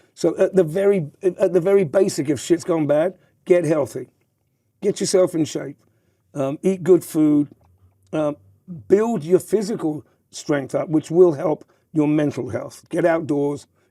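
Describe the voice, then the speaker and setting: In an American accent, a man with a high pitch and a dark, mellow tone speaks at a fairly slow pace with ordinary pitch variation and long, frequent pauses. The sound is dry and close, with no echo. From southern England. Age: 60s. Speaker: former nightclub entrepreneur, podcast guest. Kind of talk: podcast interview. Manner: halting, with many repetitions.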